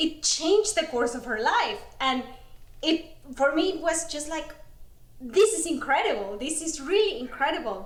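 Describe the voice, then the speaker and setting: Speaking at a moderate pace in a Spanish accent, a woman uses an extremely high pitch with very wide swings, and the room echo is audible. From Mexico. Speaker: ultrarunner. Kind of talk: casual interview.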